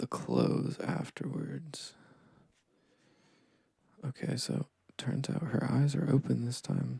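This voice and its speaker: Soft-spoken and relaxed in tone, the voice moves at a very slow pace with long, frequent pauses. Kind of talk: ASMR sketching session, casual rambling talk. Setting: recorded with dual microphones. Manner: soft-spoken, relaxed.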